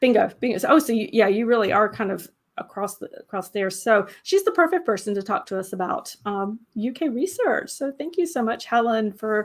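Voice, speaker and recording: With a Southern US accent, a woman talks at a fairly quick pace with hardly any pauses, her fairly high voice making very wide pitch swings. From US South. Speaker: genealogy channel host. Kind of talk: live stream interview. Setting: live stream. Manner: casual, many fillers.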